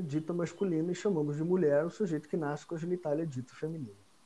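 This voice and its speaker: The man speaks with a high pitch. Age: 40s. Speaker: accountant. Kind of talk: explanatory interview talk.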